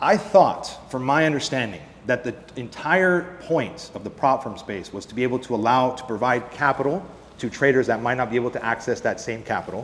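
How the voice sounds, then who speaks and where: Noticeable background noise sits behind a voice with lively intonation and a fairly quick pace. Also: man, medium pitch for a man. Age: 20s. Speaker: futures trader and trading educator. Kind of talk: conference presentation.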